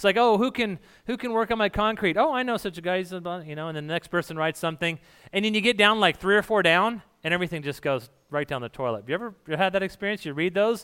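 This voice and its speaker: In a very clean recording with a silent background, a man speaks at a very fast pace with a high pitch and lively intonation. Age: 50s. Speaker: pastor. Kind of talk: sermon. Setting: church.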